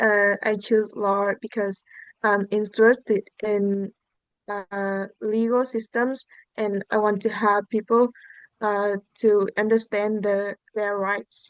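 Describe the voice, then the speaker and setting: Speaking at a very slow pace, a woman talks with a Vietnamese accent. Her intonation is monotone and flat. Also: medium pitch for a woman. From central Vietnam, Hà Tĩnh province. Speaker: student test taker. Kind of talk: exam answers. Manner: halting, many fillers.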